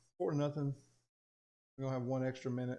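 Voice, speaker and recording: In a strong Southern US accent, a man speaks at a medium pitch with a dark, mellow tone and monotone, flat intonation. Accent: thick Southern US. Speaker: teacher, coach and gaming youtuber. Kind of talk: gameplay commentary. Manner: casual, conversational.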